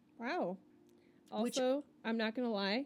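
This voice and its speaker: An ordinary speaking voice from a woman, fairly high in pitch, at a moderate pace with ordinary pitch variation. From Florida. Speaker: podcast co-host. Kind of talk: storytelling; casual chat.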